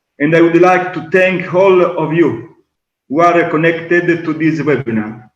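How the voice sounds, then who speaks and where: A man speaks at a high pitch with an Italian accent. His pitch varies in an ordinary way. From Sicily, Italy. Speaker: Ayurveda and yoga teacher. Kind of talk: webinar talk. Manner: halting.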